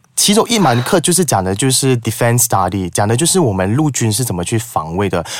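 Over noticeable background noise, a man at a medium pitch talks at a fairly quick pace with hardly any pauses and very wide pitch swings. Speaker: public speaking teacher. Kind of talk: casual chat.

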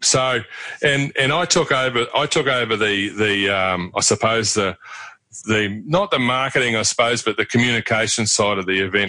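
Speaking with a Southland accent at a moderate pace, a man with a fairly low pitch has a bright, sharp tone and ordinary pitch variation. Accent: New Zealand, Southland. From New Zealand, Invercargill (Southland). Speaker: regional development leader and former roadhouse owner. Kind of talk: interview.

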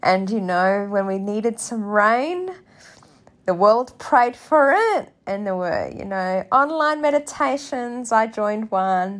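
At a very slow pace, a woman with a fairly high voice speaks in an Australian accent. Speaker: podcast host. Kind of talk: guided prayer, spoken reflection. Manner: gentle, soothing; slow, calm, tender.

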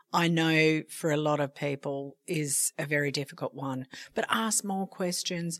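In a normal speaking voice, the speaker goes at a fairly slow pace, with a dry, close sound and no echo. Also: woman. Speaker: podcast host. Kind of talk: casual chat.

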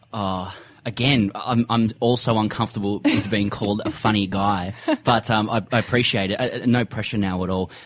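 At a fairly quick pace, a man with an Australian accent speaks in a fairly low pitch and fairly even intonation. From Sydney, Australia. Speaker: comedy cricket podcaster and author. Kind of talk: casual interview.

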